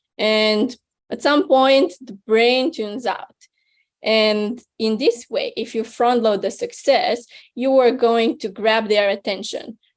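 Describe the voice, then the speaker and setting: Speaking at a very slow pace with a non-native accent, a woman uses a fairly high pitch and ordinary pitch variation. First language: not English. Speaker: venture capital investor, speaker. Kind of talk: webinar talk. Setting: online webinar.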